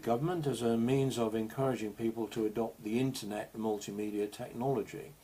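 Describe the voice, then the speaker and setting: A man with an English accent and medium pitch speaks at a fairly quick pace. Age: 60s. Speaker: digital health advocate and author. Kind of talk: presentation.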